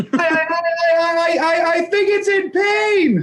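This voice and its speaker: A put-on character voice, shouting at an extremely high pitch and a very slow pace. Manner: shouting in panic.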